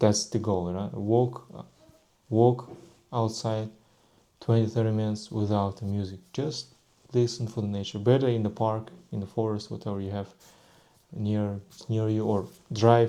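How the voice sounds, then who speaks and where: Flat and monotone, a man with a Russian accent speaks in a fairly low, dark, mellow voice, leaving long, frequent pauses. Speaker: vlogger. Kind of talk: casual monologue. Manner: halting.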